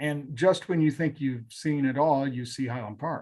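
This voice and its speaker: At a moderate pace, a man with a plain, everyday voice talks at a fairly high pitch with fairly even intonation. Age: 60s. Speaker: TV news reporter. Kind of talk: interview. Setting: live online show.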